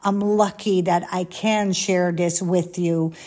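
A woman speaks with a Dutch accent. Her voice is medium-pitched, with a dark, mellow tone. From Netherlands, near Amsterdam. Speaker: former private jet flight attendant, vlogger. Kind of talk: casual monologue to viewers. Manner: animated.

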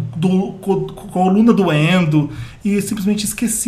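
Noticeable background noise accompanies a man's high voice with ordinary pitch variation. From Brazil, Pará. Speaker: podcast host, pop culture site owner. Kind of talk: casual chat.

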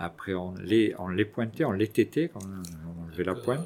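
Very deep, low male voice, its pitch varying in an ordinary way. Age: 60s. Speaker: farmer. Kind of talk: interview. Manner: halting.

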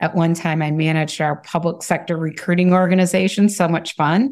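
A woman with an American accent and a plain, everyday voice, fairly low in pitch, at a moderate pace, in a very clean recording with a silent background. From US Midwest, Michigan. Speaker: talent acquisition director. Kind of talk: interview conversation.

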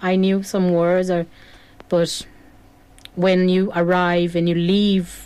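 A woman speaks very slowly in a Brazilian accent. Her pitch is fairly low. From southern Brazil, Porto Alegre. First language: Portuguese. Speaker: singer-songwriter. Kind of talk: studio interview. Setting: radio studio.

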